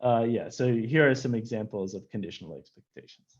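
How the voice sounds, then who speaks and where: The speaker is a man with a medium-pitched voice. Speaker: physics professor. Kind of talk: lecture. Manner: fast; halting, many fillers.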